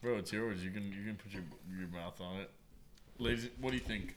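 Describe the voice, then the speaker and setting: With audible room echo around him, a man speaks fairly quickly at a fairly low pitch. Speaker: podcast host. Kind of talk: casual chat. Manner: animated.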